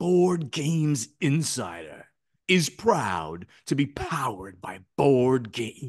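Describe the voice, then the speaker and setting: In a put-on character voice of medium pitch, a man speaks very slowly with very wide pitch swings. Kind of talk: sponsor read-out, announcer style. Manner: angry, powerful.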